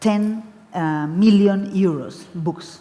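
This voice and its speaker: A woman with a Spanish accent talks with ordinary pitch variation. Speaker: book fair director. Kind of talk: panel discussion. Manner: halting.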